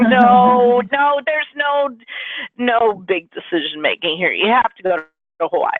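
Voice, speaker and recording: Her pitch high and swinging very widely, a woman speaks at a fairly slow pace with very even loudness. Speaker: webinar host. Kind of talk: webinar wrap-up.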